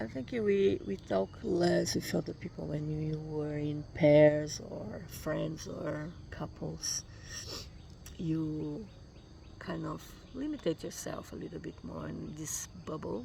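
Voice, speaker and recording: A woman talks at a very slow pace with a Brazilian accent. Her loudness swings widely. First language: Portuguese. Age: 50s. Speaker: vlogger. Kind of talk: casual vlog monologue. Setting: morning self-recorded travel vlog. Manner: halting, with fillers and repetitions.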